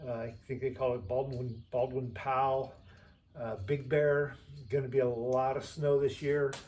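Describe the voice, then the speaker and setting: At a fairly slow pace, a man with a medium pitch speaks in a somewhat breathy voice with monotone, flat intonation. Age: 60s. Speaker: hiker and vlogger. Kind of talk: gear tutorial. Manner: casual with frequent fillers.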